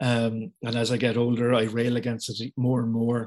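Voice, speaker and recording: A man speaks with a Cork accent. His pace is moderate. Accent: Cork Irish. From Ireland. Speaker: artist. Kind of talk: casual interview.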